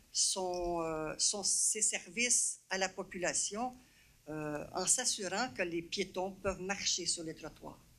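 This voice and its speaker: Very slowly, a woman speaks at a medium pitch with a bright, sharp tone. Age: 70s. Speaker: citizen at council question period. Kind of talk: public question at council meeting.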